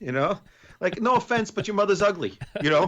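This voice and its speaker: Speaking in a New York accent, a man talks at a very fast pace. His pitch swings very widely. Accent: New York accent coming out. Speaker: podcast co-host. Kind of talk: casual chat.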